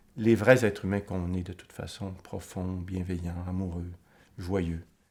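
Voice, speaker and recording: Very deep and low, a man's voice keeps fairly even intonation. Its loudness swings widely. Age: 60s. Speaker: author and psychoanalyst interviewee. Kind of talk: documentary interview. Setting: filmed documentary interview. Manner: reflective, with hesitations.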